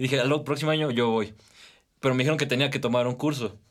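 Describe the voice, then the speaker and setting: A man speaks at a medium pitch, his pitch varying in an ordinary way. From Mexico, Toluca/Metepec. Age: young. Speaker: medical student. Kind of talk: casual interview.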